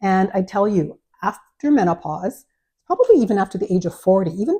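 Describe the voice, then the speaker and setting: A woman's somewhat breathy, medium-pitched voice with a Canadian accent, lively intonation and a moderate pace. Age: 60s. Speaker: lifestyle vlogger. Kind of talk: product review vlog. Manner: casual, hesitant with many fillers.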